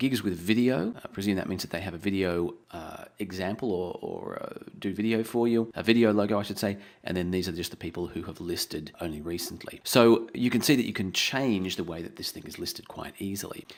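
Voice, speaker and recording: A man at a fairly quick pace, hardly any pauses, ordinary pitch variation and big swings in loudness. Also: fairly low pitch for a man. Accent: Australian. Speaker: online tutorial presenter. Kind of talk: tutorial.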